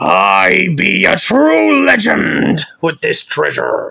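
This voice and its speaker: A man's raspy, fairly high-pitched, cartoonish character voice at a very slow pace. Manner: possessive, gloating.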